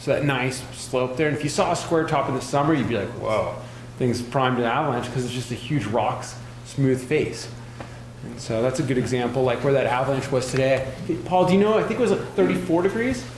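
A man at a fairly quick pace with ordinary pitch variation, audible room echo and light background noise. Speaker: avalanche course instructor. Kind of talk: lecture. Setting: classroom with live audience. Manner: casual, filler-heavy. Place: hall.

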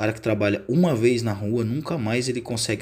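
Talking at a fairly quick pace, a man uses an animated tone with ordinary pitch variation. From Brazil. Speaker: tow truck driver and YouTuber; YouTuber. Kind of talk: casual vlog. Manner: casual, animated. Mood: enthusiastic about his work. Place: street. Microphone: phone near.

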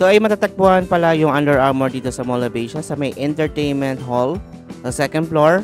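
The speech moves at a fairly quick pace. Clear music plays in the background, and the sound is dry with no echo. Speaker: shopping vlogger. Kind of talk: casual vlog chat. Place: shop. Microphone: phone near.

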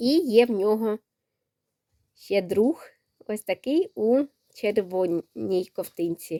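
In a dry, close recording with no echo, a woman with a fairly high pitch and a dark, mellow tone speaks with lively intonation at a very slow pace, leaving long, frequent pauses. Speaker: knitting and crafts vlogger. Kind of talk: casual vlog, showing handmade toys.

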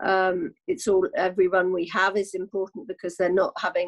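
A woman speaks against a quiet background. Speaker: guest. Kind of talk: interview answer. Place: home room. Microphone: video call.

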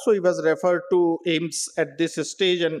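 A man speaks at a moderate pace with a high pitch. The background is quiet. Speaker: medical professor presenting a case. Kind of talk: lecture. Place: hall.

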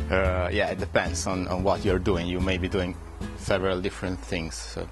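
With clear music in the background, a man talks at a moderate pace in a very deep, low pitch with ordinary pitch variation. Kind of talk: interview answer. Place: hall.

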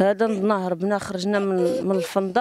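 The speaker is a woman. The sound is dry, with no echo. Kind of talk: interview answer. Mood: distressed, pleading. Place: street. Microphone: handheld.

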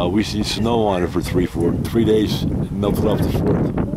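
A man's dry voice with no echo, set against loud background noise. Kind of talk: casual vlog chat. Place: street. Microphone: phone near.

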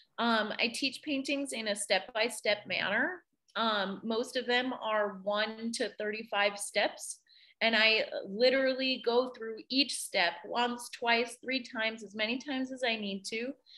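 A woman speaks in a normal speaking voice, pitched fairly high, at a fairly slow pace. Her intonation stays fairly even. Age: 20s. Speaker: art teacher and studio owner. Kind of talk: interview.

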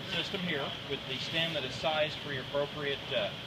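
A man is speaking. Loud background noise runs underneath. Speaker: equipment demonstrator. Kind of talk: tutorial. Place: factory. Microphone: camera far.

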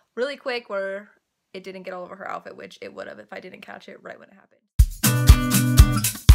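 Clear music plays in the background as a woman speaks with big swings in loudness. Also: moderate pace. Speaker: mother vlogger. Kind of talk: casual vlog chat. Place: home room. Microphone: phone near.

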